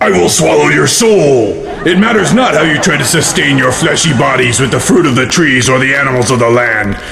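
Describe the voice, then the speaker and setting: Against loud background noise, a man does a put-on character voice at a medium pitch and a fairly quick pace. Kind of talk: horror villain overacting. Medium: comedy sketch. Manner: menacing, grandiose.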